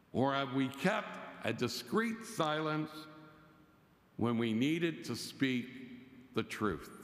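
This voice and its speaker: A loud male voice at a very slow pace, with very wide pitch swings and long, frequent pauses. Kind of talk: sermon. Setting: church.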